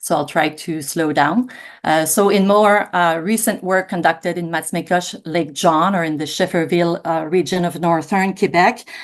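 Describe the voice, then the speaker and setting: A woman talks at a moderate pace with hardly any pauses. Her pitch is fairly low. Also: ordinary pitch variation, quiet background. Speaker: law professor and researcher. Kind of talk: panel presentation. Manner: hesitant with many fillers.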